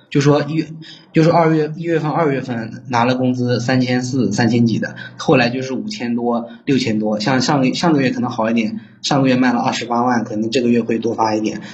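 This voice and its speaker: Medium-pitched male voice at a fairly quick pace, amid noticeable background noise and audible room echo. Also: ordinary pitch variation. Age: 20s. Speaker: caller seeking advice, online salesman. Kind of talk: phone-in advice call. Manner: halting.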